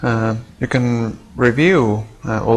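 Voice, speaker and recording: A man mumbles with a non-native accent. Noticeable background noise is present. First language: not English. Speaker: gaming video creator. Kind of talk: gameplay commentary. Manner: mumbling; halting, many fillers.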